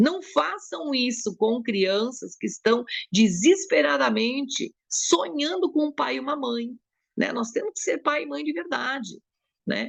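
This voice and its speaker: This woman's voice is high in pitch. It moves in very wide pitch swings. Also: fairly slow pace. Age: 70s. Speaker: psychologist. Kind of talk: talk to a support group.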